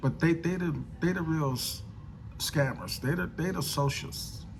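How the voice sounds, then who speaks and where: Amid audible room echo, a man speaks in a somewhat breathy voice with a fairly high pitch. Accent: American. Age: 60s. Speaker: political commentator vlogger. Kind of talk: casual monologue. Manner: halting, many fillers and repetitions.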